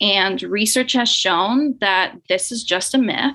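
With ordinary pitch variation, a woman's voice has a bright, sharp tone. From Nicaragua. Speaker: speech-language pathology assistant. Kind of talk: podcast interview.

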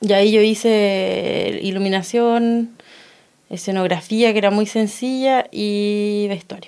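Delivered at a very slow pace, the speech is monotone and flat. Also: woman, medium pitch for a woman. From Chile, Los Ángeles (Biobío). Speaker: stage designer and performance artist. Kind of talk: radio interview.

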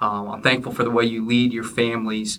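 This man's voice sits at a medium pitch and moves at a very fast pace. Noticeable background noise runs underneath. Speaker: church minister and podcast host. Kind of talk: casual interview chat.

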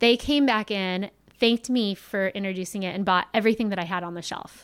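In a very clean recording with a silent background, a woman with an American accent talks in a normal speaking voice at medium pitch, her intonation fairly even and her pace fairly quick. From Southern California (Ventura). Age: 40s. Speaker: sommelier and wine shop owner. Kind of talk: casual chat.

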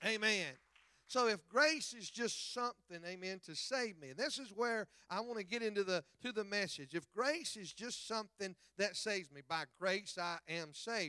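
A man with a Southern US accent uses a raised, projected voice at a high pitch, with a bright, sharp tone and lively intonation. He keeps a moderate pace with big swings in loudness, and the sound is dry and close with no echo. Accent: US South. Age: 50s. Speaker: evangelist. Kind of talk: sermon. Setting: church. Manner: animated.

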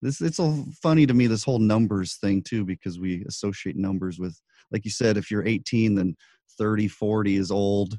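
A dark, mellow tone carries speech at a fairly quick pace with ordinary pitch variation. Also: man, fairly low pitch for a man. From New Mexico, Albuquerque. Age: 30s. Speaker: podcast host. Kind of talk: interview. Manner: hesitant, many fillers.

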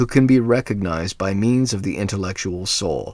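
Delivered at a moderate pace with lively intonation, an ordinary speaking voice comes through on a very clean recording with a silent background. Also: man. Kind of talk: reading aloud a fairy tale, storybook narration. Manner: measured, steady storyteller's pace.

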